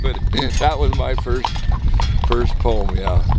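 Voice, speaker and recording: Music plays behind a man speaking at a moderate pace. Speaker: cowboy poet. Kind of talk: casual talk to camera.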